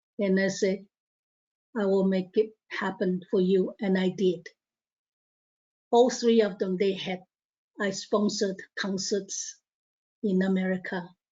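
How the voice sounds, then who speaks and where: A woman with a Chinese accent, a medium pitch and a somewhat breathy, monotone, flat delivery, at a fairly slow pace with long, frequent pauses. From Taiwan. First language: Mandarin Chinese. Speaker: professor. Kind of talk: conference talk. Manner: halting.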